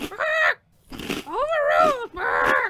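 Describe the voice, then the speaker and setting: Loud and squeaky, this put-on character voice sits at an extremely high pitch. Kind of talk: comic overacting. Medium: audio drama. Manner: loud, erratic, punctuated by squawking "Ah!".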